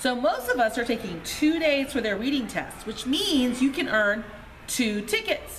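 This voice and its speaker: A woman speaks at a fairly slow pace in a high voice. Light background noise is present. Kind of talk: announcement to students. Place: hall. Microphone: camera far.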